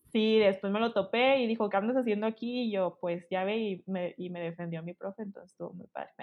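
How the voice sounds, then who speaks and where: A woman speaks at a very fast pace with hardly any pauses. Her medium-pitched voice keeps fairly even intonation. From Mexico, Chihuahua. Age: 20s. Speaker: student and stage manager. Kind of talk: casual chat.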